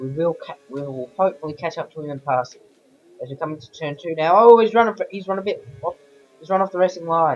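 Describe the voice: A croaky man's voice sits at a fairly high pitch with ordinary pitch variation.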